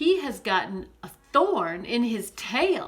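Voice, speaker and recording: Putting on a character voice, a woman talks fairly slowly at a high pitch, with very wide pitch swings. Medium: read story. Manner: timid.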